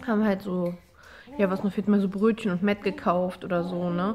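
Against light background noise, a woman speaks at a fairly quick pace. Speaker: vlogger. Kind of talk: casual vlog chat. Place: home room. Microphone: phone near.

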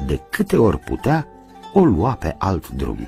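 Over faint music in the background, a man speaks at a fairly slow pace with lively intonation. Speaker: radio theatre reader. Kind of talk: audiobook narration of a novel. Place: studio.

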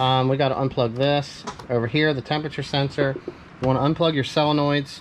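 The speech moves at a moderate pace with light background noise behind it. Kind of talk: tutorial. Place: garage. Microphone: phone near.

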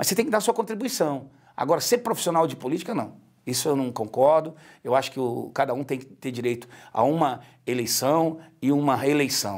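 Against a quiet background, a man with a fairly high pitch speaks at a fairly quick pace with lively intonation in an ordinary speaking voice. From Brazil, Ceará (Ipu), raised in Brasília area; Ceará, Brazil. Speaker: politician, retired military police officer; politician. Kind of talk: interview. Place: studio. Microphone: lapel.

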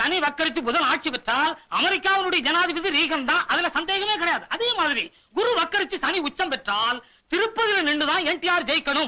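In a put-on character voice, a man speaks at an extremely high pitch with a bright, sharp tone. His intonation is lively, his pace fairly quick, and he makes few pauses.

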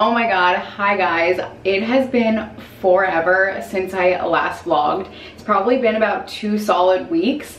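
Speaking at a fairly slow pace with ordinary pitch variation, a woman's loudness swings widely, with audible room echo and light background noise. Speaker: vlogger. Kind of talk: casual vlog chat. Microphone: phone near.

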